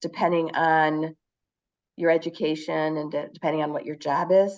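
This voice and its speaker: At a moderate pace, a woman speaks with an American accent. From US Midwest, Chicago area. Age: 60s. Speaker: teacher living abroad. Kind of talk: casual conversation. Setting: video call. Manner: halting.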